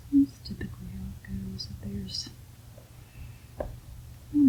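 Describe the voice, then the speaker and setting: Over clearly noticeable background noise, a woman speaks softly at a moderate tempo. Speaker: mother. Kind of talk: ASMR, casual talk while doing puzzles. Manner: soft-spoken.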